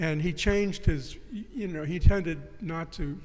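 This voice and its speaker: The man's voice sits at a fairly high pitch. Room echo is audible. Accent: American. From US South, New Orleans. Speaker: writer and philosopher. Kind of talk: interview discussion. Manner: halting, many restarts.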